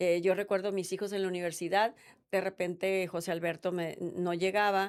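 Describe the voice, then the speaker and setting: A woman with an ordinary speaking voice at a fairly quick pace. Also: very clean recording, silent background. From Sonora, Mexico. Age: 60s. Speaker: state legislator. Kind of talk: interview.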